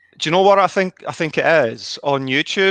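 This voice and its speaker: This man has a Scottish accent and lively intonation. His tone is bright and sharp, with a dry, close sound and no echo. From Scotland. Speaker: youtuber. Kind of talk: casual chat.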